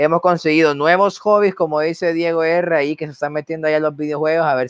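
Fairly high in pitch, a man talks at a very fast pace. His intonation stays fairly even. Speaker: podcast host. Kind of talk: casual chat.

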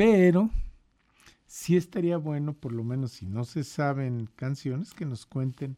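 This man has a dark, mellow tone and a fairly high pitch, with a Mexican accent. He talks at a fairly slow pace with lively intonation. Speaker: radio host. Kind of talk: casual chat.

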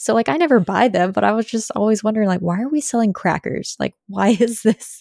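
A woman with a fairly high pitch at a fairly quick pace. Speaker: content creator. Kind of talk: casual chat. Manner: monotone.

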